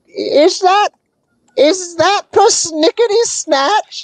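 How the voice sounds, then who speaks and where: In a put-on character voice, the speaker talks at a very slow pace with an extremely high pitch. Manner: questioning, uncertain.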